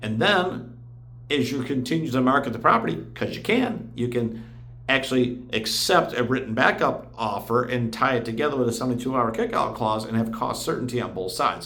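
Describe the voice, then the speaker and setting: A man with a medium-pitched voice talks at a fairly quick pace in an animated tone, his pitch varying in an ordinary way, with audible echo in the room. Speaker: real estate agent. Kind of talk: explainer video. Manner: fast.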